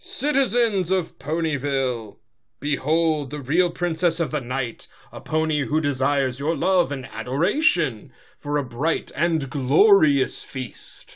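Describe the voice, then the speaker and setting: A man's booming, put-on character voice, fairly high in pitch, with lively intonation and a fairly slow pace. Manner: grand, commanding, theatrical.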